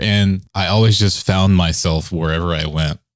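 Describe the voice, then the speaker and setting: A man's very deep, low voice carries fairly even intonation in an American accent. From Texas, Dallas. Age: 30s. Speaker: electronic music producer. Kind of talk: casual interview.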